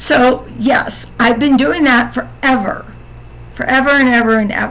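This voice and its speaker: Music plays in the background as a woman with an American accent speaks at a fairly slow pace. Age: 50s. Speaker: podcaster telling personal story. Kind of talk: personal storytelling monologue. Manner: halting, repetitive.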